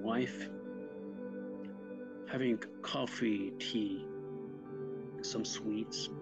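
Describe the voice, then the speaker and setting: Ordinary pitch variation over clear music in the background. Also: man. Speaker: channel host. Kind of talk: casual vlog storytelling. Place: home room. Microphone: webcam.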